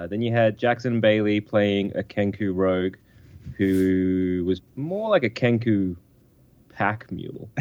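At a fairly slow pace, a man with an Australian accent speaks at a fairly low pitch with fairly even intonation. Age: 30s. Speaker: podcaster. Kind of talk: casual chat. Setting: phone call.

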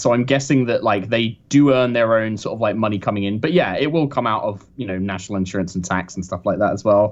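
Speaking at a very fast pace with a British accent, the man uses lively intonation. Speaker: professional Dungeon Master. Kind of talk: casual interview chat. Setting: phone call.

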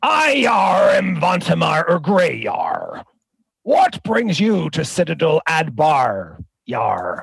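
A man speaks in a raspy, put-on character voice pitched high. His pace is very slow.

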